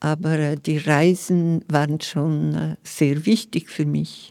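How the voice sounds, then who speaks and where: The speaker has a dark, mellow tone and talks at a very slow pace. The recording is very clean, with a silent background. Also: woman. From Lower Engadine, Graubünden, Switzerland. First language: Romansh (Vallader) (speaking German). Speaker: poet and novelist. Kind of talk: interview.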